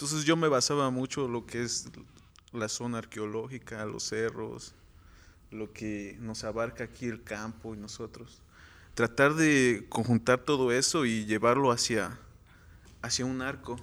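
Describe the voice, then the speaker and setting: Recorded very cleanly with a silent background, a man speaks in an ordinary speaking voice at a fairly slow pace, with medium pitch and fairly even intonation. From Morelos, Mexico. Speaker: muralist. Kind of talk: interview.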